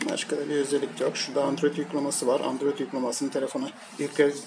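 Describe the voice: A man talks very fast at a medium pitch, with little movement in his pitch. His tone is slightly mellow, and faint noise sits in the background.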